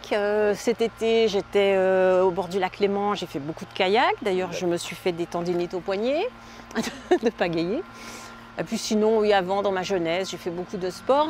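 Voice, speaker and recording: Moderately paced, medium-pitched female speech over noticeable background noise. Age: 60s. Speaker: van dweller, seasonal bus driver. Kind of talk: interview. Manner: hesitant, with many fillers.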